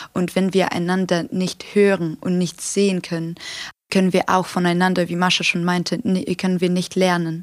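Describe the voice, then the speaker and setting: On a very clean recording with a silent background, a woman at a fairly low pitch speaks at a moderate pace in a monotone, flat intonation. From Ukraine, Kharkiv. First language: Ukrainian or Russian (speaking German). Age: 18. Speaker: student activist. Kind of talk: podcast interview. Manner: hesitant, many fillers.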